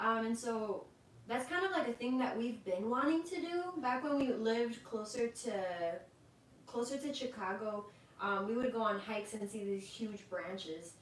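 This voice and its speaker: With audible room echo and noticeable background noise, a soft-spoken woman talks at a moderate pace, her fairly high voice carrying lively intonation. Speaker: livestream co-host. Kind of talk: casual chat. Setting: livestream. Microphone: cutting out, too quiet.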